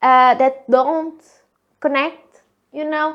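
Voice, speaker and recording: A woman with a Portuguese accent speaks in a squeaky, high-pitched voice. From Portugal. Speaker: solo podcaster. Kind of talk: casual monologue. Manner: loud; halting, many fillers.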